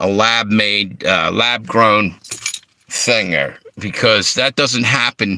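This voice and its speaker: Very slowly, a man speaks with an American accent and a fairly low pitch. His loudness stays very even, and his pitch variation is ordinary. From Philadelphia and Delaware. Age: 60s. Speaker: livestream host. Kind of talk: casual livestream talk.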